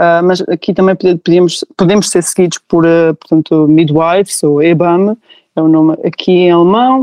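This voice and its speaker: A woman's normal speaking voice, fairly low in pitch, at a moderate pace, with very even loudness and fairly even intonation. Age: 30s. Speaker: new mother sharing birth story. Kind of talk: testimony.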